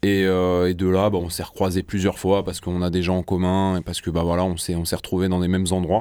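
A man with a very deep, low pitch and a dark, mellow tone talks monotone and flat at a fairly quick pace with hardly any pauses. The recording is very clean, with a silent background. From southern France, Marseille. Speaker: rapper. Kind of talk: interview. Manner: halting.

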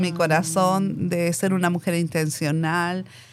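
Very slowly, a woman talks in a mid-range pitch. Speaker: missionary. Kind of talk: casual chat, testimony.

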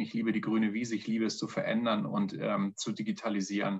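A man speaks at a moderate pace. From northern Germany. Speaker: pharma innovation manager. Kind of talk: interview.

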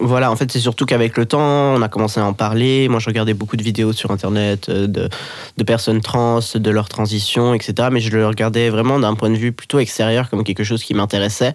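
A man's medium-pitched voice at a fairly quick pace, flat and monotone, with very even loudness. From Switzerland, Geneva. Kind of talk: casual interview.

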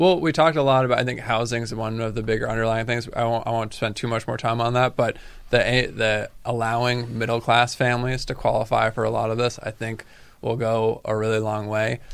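A man with a normal speaking voice talks at a fairly quick pace and medium pitch, his intonation fairly even. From Massachusetts, Cape Cod (Falmouth). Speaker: state politician. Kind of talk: radio interview.

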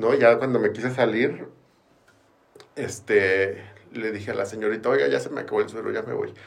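A man with a Mexican accent speaks at a moderate pace, leaving long, frequent pauses. Audible room echo surrounds the voice. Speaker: recovering addict. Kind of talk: testimony.

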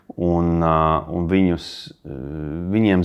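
His intonation stays mostly level as a man talks in a very deep, low register. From Australia and London, Latvian diaspora family. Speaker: venture capital investor. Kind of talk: interview. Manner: halting with many fillers.

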